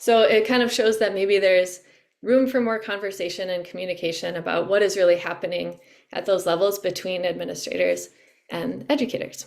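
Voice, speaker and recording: With ordinary pitch variation, a woman's voice carries vocal fry. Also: medium pitch for a woman. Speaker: climate education workshop presenter. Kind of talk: educational webinar presentation. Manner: halting, with fillers.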